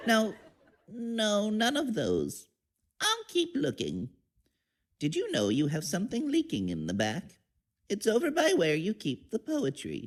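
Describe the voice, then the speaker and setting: Using a put-on character voice, a woman speaks at a fairly slow pace and medium pitch, with long, frequent pauses. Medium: audio drama. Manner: dithery, friendly.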